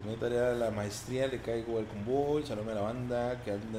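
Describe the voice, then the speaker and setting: A man rattles along at a very fast pace with audible room echo around him. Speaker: gaming streamer. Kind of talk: casual chat. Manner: animated.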